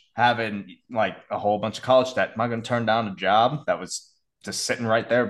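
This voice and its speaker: Over a quiet background, a man with a plain, everyday voice speaks at medium pitch and a fairly quick pace, his intonation fairly even. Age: 30s. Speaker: sleep and fitness coach. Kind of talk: interview.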